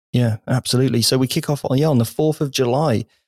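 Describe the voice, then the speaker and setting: The sound is dry and close, with no echo. A man talks at a very fast pace. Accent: English. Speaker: gaming podcast co-host. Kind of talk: casual chat.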